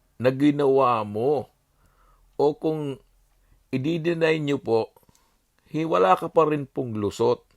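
Very slowly, a man speaks at a fairly high pitch in a dry, close sound with no echo. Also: very clean recording, silent background. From Bicol, Philippines. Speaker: political commentator vlogger. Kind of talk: monologue. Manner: animated.

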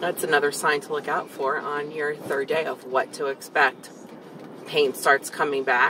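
A woman with a very deep, low voice speaks at a moderate pace in a flat monotone, the sound dry with no echo and music playing in the background. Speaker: vlogger. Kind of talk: casual vlog chat. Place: car. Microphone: phone near.

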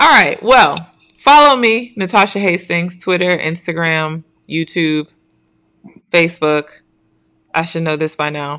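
Against a quiet background, the voice has a bright, sharp tone. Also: woman. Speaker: show host. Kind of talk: casual live show hosting. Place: home room.

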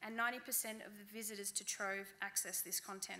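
A woman with an Australian accent speaks at a very fast pace in a bright, sharp tone. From central New South Wales, Australia. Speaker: library outreach officer; conference presenter. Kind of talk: conference talk. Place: hall. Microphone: podium.

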